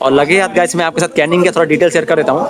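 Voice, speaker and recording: There is noticeable background noise. A man speaks at a high pitch. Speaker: travel vlogger. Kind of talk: vlog narration. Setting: on a train and station platform. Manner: fast.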